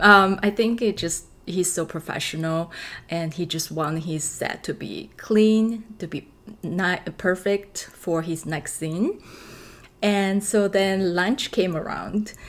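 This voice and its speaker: Speaking in a Chinese accent, a woman talks. Her pace is very slow. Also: medium pitch for a woman, ordinary pitch variation. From China. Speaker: actress. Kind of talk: casual storytelling vlog. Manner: hesitant, many fillers.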